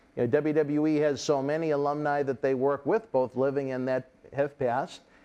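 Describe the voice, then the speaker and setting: A man's fairly high voice with a dark, mellow tone, fairly even intonation and a fairly quick pace. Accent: Boston. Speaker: wrestling interview host. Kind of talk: casual interview chat. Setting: studio.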